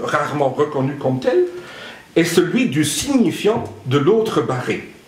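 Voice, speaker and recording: Very slow speech from a man amid noticeable background noise and audible room echo. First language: not French (speaking French). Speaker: psychoanalyst speaker at a conference. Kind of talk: conference talk. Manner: halting, with many hesitations.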